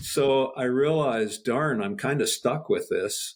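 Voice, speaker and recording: A man's somewhat breathy voice, fairly high in pitch, with very wide pitch swings at a fairly slow pace. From Canada. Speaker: spine researcher and professor. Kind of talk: casual interview chat. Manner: halting.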